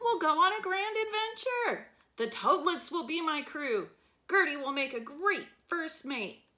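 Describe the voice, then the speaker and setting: Using a put-on character voice at an extremely high pitch, a woman speaks at a moderate pace. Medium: read story.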